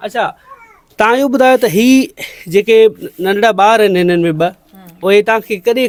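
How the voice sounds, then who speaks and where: Dry and close with no echo, a man's voice sits high in pitch. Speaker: journalist. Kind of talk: news report narration and interview questions.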